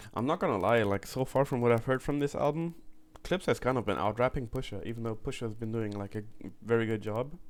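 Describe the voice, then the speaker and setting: Speaking very fast, a man with a German accent uses a medium pitch and ordinary pitch variation. The recording is very clean, with a silent background. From Germany. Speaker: music reaction youtuber. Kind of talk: casual reaction commentary.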